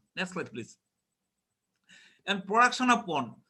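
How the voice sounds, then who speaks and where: A man speaks with a bright, sharp tone. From Bangladesh. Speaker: fisheries scientist. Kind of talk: conference presentation. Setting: web conference. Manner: halting, many fillers.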